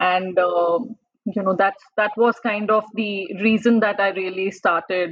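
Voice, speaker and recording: A woman speaks at a fairly slow pace in a flat, monotone delivery. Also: medium pitch for a woman. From India, Delhi. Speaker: blogger and engineer. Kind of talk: interview. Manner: hesitant, many fillers.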